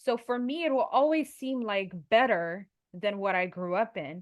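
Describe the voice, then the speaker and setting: The speaker talks at a moderate pace with a Curaçao accent. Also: woman. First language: Papiamento. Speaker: podcast co-host. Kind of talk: casual podcast conversation.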